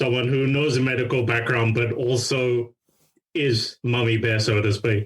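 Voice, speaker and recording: A man of medium pitch with a somewhat breathy voice talks at a moderate pace in a flat monotone, his loudness very even. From London, England (village near Heathrow). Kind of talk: podcast interview.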